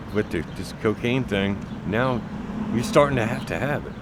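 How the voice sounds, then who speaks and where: Amid noticeable background noise and audible room echo, a man speaks at a medium pitch with ordinary pitch variation. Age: 60s. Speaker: person with drug addiction. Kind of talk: documentary interview.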